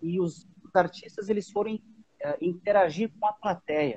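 A man with a dark, mellow tone talks at a moderate pace with ordinary pitch variation, in a dry, close sound with no echo. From Antônio Prado, Rio Grande do Sul. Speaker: musician and music teacher. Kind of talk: casual interview chat.

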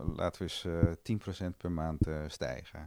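The speech has fairly even intonation. Its pace is fairly slow. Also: man. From Amstelveen, Netherlands. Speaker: dairy cooperative director. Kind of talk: casual interview.

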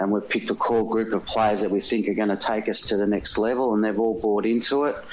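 A man with an Australian accent speaks at a moderate pace, his pitch fairly low. His intonation stays flat and monotone against noticeable background noise. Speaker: football coach. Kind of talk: interview.

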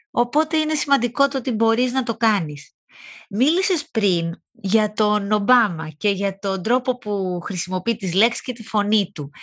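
A woman's fairly high voice with lively intonation at a fairly slow pace, against a quiet background. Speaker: podcast host. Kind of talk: interview.

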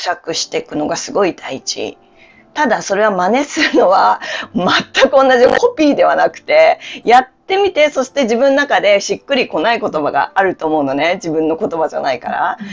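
A woman is speaking. Her pitch swings very widely. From Japan, Hokkaido. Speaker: yoga instructor and life coach. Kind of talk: casual interview. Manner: clear, announcer-like delivery.

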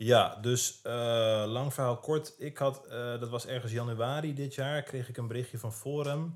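A man speaks at a medium pitch with fairly even intonation and hardly any pauses, at a fairly slow pace. It is a normal speaking voice. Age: 20s. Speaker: fitness influencer. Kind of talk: casual chat.

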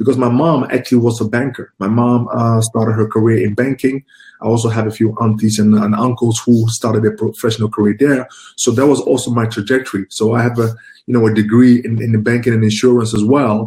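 In a dark, mellow, somewhat breathy tone, a man speaks with monotone, flat intonation. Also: medium pitch for a man. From Ghana, then Netherlands from age 11. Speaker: recruitment professional. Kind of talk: interview.

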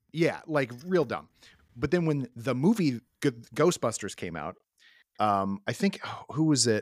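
Speaking at a fairly slow pace with long, frequent pauses, a man at a medium pitch makes very wide pitch swings in a dry, close recording with no echo, very clean and with a silent background. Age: 30s. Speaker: podcast host. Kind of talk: casual chat.

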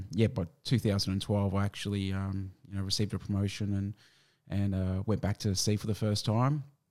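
With an Australian accent, a man speaks at a moderate pace in a fairly low pitch with fairly even intonation. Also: very clean recording, silent background. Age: 40s. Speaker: navy veteran. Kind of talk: interview. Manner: halting.

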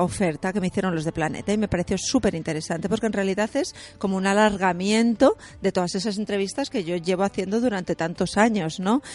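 A woman speaks in a Castilian accent at a fairly quick pace. Her pitch varies in an ordinary way. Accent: Castilian Spanish (Spain). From Spain, Castilla-La Mancha. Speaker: music journalist and author. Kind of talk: radio interview.

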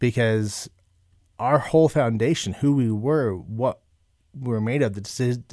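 A very clean recording against a silent background, its pitch varying in an ordinary way. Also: man. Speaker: podcast guest sharing life story. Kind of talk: personal testimony interview. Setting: studio. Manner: hesitant, many fillers and restarts.

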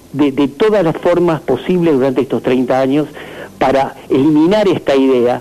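A man's voice, with ordinary pitch variation, proceeds at a moderate pace while noticeable background noise plays behind it. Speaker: school director. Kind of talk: phone interview.

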